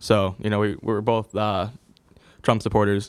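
Heard on a very clean recording with a silent background, a man with an American accent talks at a moderate pace and a fairly low pitch. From Connecticut (Ansonia). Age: young. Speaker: local reader challenging a news story. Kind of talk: casual interview. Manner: halting, many fillers.

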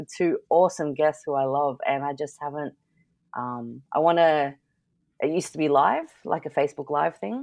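The recording is very clean and the background silent. Her voice is very deep and low, with ordinary pitch variation, as the woman talks. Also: moderate pace. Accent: Australian. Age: 30s. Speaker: artist and podcaster. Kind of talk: casual chat.

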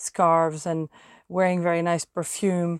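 A woman speaks at a fairly low pitch and a fairly slow pace, with monotone, flat intonation. The sound is dry and close with no echo, and the recording is very clean with a silent background. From France. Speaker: podcast host, language teacher. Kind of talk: casual monologue for language learners.

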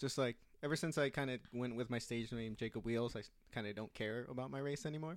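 A man with a Californian accent talks very fast at a medium pitch, with ordinary pitch variation. The recording is very clean, with a silent background. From Southern California, Orange County. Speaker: comedian. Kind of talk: casual chat. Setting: home room.

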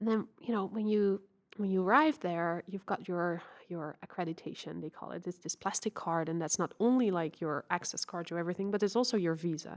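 A woman with a Dutch accent talks at a fairly quick pace with medium pitch and ordinary pitch variation. The very clean recording has a silent background and a dry, close sound with no echo. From Netherlands. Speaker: Olympic sailor. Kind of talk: interview.

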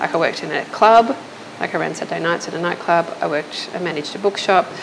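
Over noticeable background noise, a woman with an Australian accent talks at a fairly quick pace, her fairly low voice full of lively intonation. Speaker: illustrator and designer. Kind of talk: casual interview chat. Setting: at her restaurant.

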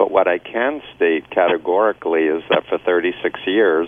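A man's very deep, low voice with an American accent, over noticeable background noise. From New York (Queens). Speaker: cult recovery expert and author. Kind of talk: radio talk show discussion. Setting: phone call.

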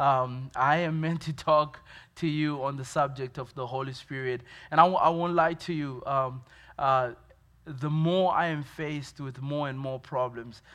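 Against a quiet background, a man talks at a fairly slow pace and fairly high pitch with fairly even intonation. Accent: Zimbabwean. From Zimbabwe. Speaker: pastor. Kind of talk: sermon. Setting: church. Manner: halting, many fillers.

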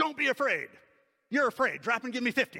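Putting on a character voice, a man talks at a fairly quick pace with an extremely high pitch. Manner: barking, harsh, commanding.

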